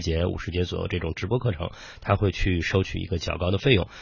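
Somewhat breathy, a man speaks at a very deep, low pitch with ordinary pitch variation. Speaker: startup founder. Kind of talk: interview.

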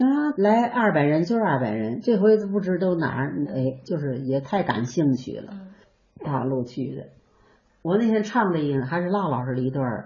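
A woman speaks at a moderate pace with a very deep, low pitch. Her voice is somewhat breathy and swings very widely in pitch. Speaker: traditional ballad singer and teacher. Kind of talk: interview reminiscence. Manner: animated.

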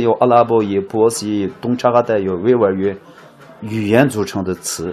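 A man with a Xinjiang accent talks at a fairly quick pace with ordinary pitch variation. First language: Uyghur (speaking Chinese). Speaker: muqam folk musician and expert. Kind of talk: interview.

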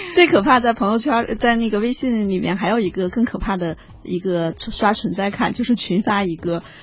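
Noticeable background noise sits behind this recording. A woman talks at a fairly high pitch and moderate pace. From China, outside Beijing. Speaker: human resources consultant. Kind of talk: radio interview. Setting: radio studio.

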